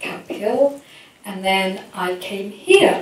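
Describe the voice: A woman's medium-pitched voice with ordinary pitch variation and strong room echo.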